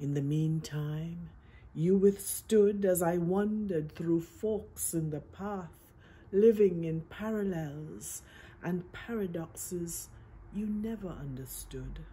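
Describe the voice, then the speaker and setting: This woman's voice is somewhat breathy and fairly low. She talks very slowly with ordinary pitch variation. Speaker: poet. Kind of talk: poetry reading. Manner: measured, lyrical.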